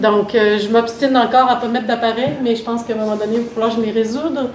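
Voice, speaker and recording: Fairly high pitch from a woman with a slight Canadian French accent and ordinary pitch variation, plus audible room echo and noticeable background noise. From Canada. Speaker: mental health consultant, workshop facilitator. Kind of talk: workshop presentation. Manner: hesitant, many fillers.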